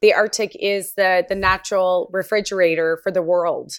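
A woman with a Canadian accent and a normal speaking voice, medium in pitch, at a moderate pace on a very clean recording with a silent background. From Nunavut, Canada. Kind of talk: panel discussion.

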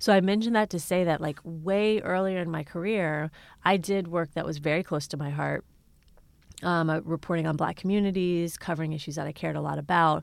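Against a silent background on a very clean recording, a woman with a fairly low pitch speaks at a fairly quick pace with fairly even intonation in a plain, everyday voice. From Ohio, Cincinnati area. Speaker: journalist and author. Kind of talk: interview.

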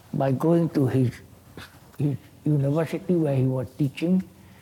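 Speech comes at a fairly slow pace against noticeable background noise. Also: man. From Singapore. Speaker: artist. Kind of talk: public talk conversation. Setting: stage with live audience.

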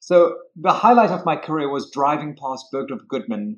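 Moderate pace from a man with a South African accent, his fairly high pitch swinging very widely. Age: 50s. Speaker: real estate broker. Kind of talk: interview. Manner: charismatic.

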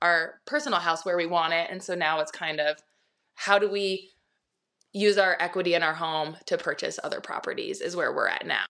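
A woman speaks at a moderate pace with an American accent. Her tone is bright and sharp, her pitch fairly low. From Montana, US (Bozeman). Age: 30s. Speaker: realtor. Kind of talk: casual interview chat.

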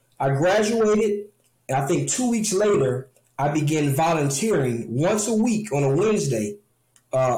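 In an American accent, a man with a dark, mellow, somewhat breathy tone speaks at a moderate pace, his pitch swinging very widely while his loudness stays very even. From Detroit, Michigan. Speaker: barber and barber instructor, product maker. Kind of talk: interview, casual chat.

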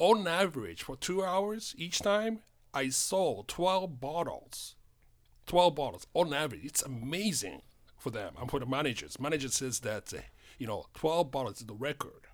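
In a very clean recording with a silent background, a man's fairly high pitch makes very wide swings at a moderate pace. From Japan, Tokyo. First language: Japanese. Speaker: spirits importer. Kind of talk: casual chat. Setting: studio.

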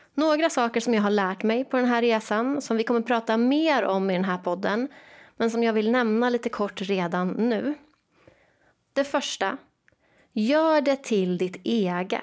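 On a very clean recording with a silent background, a woman with an ordinary speaking voice talks at a fairly high pitch, with ordinary pitch variation and very even loudness. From Sweden, Jönköping. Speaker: teacher and education coach. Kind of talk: solo podcast monologue.

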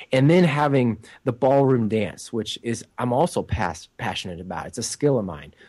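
A man with an American accent speaks at a moderate pace in an unremarkable speaking voice, his pitch medium. The background is quiet. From United States. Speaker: inspirational speaker and author. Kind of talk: interview.

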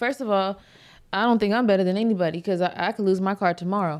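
A woman has a normal speaking voice at a medium pitch with fairly even intonation. Her recording is very clean with a silent background. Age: 30s. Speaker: podcast co-host and event host. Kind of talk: casual chat.

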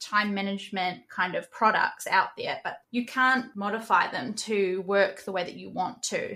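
Speaking in a New Zealand accent, a woman holds a medium pitch. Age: 20s. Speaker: NFT project manager and moderator. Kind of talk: interview.

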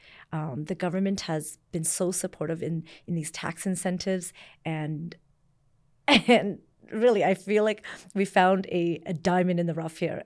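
A woman with a fairly low pitch, an unremarkable speaking voice, ordinary pitch variation, and a moderate pace, in a very clean recording with a silent background. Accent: Canadian. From Canada, born in Vietnam. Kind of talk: interview. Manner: casual, with many fillers.

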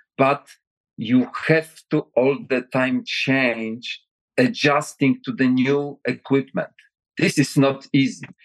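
A man's fairly high voice at a very slow pace, with very even loudness, ordinary pitch variation, and a dry, close sound with no echo. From Poland. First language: Polish. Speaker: retired general and defense adviser. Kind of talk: interview answers.

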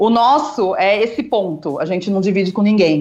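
Music in the background behind a medium-pitched woman talking at a moderate pace. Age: 40s. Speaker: founder of a publishing-courses school. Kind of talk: casual chat.

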